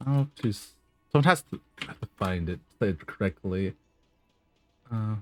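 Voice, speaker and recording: Music plays in the background as a man speaks at a moderate pace in a fairly low pitch, his intonation lively, with long, frequent pauses and a dry, close sound with no echo. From western Canada. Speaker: streamer. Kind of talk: casual chat. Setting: live stream. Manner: halting; over-enunciates at times.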